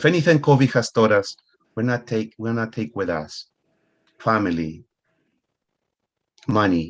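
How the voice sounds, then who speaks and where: The speaker talks fairly slowly in a Spanish accent, with ordinary pitch variation. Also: man. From Ecuador. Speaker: money coach. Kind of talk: motivational talk.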